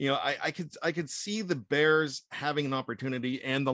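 Here a man with a plain, everyday voice speaks at a medium pitch and a moderate pace, with ordinary pitch variation. The sound is dry and close with no echo, over a quiet background. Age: 50s. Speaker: sports writer and podcast producer. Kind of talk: casual chat.

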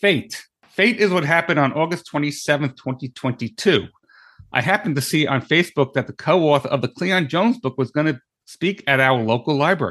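In a normal speaking voice with an American accent, a man talks at a fairly quick pace and fairly high pitch, his intonation lively and loudness very even, in a dry, close sound with no echo against a quiet background. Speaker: podcast co-host. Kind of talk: casual interview chat. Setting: studio.

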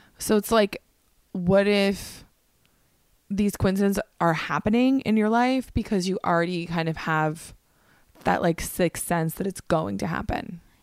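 In a very clean recording with a silent background and a dry, close sound with no echo, a woman with an unremarkable speaking voice talks at a fairly slow pace, with medium pitch and ordinary pitch variation. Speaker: comedian and podcast host. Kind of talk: casual chat.

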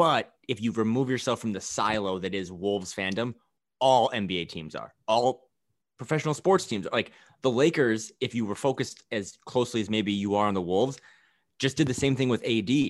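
A man with a normal speaking voice, medium pitch and ordinary pitch variation, at a moderate pace over a quiet background. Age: 30s. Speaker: basketball podcast guest. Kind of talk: casual chat.

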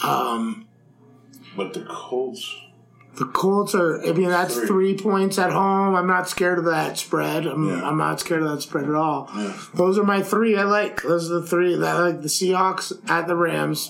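There is audible room echo as a man with a high voice talks fairly slowly, his pitch varying an ordinary amount. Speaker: sports betting podcast co-host. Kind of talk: casual chat.

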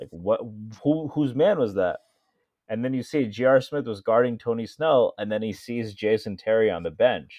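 With an American accent and an unremarkable speaking voice, a man talks at a moderate pace and medium pitch, using ordinary pitch variation. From Connecticut, Stamford. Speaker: sports podcast co-host. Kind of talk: casual chat.

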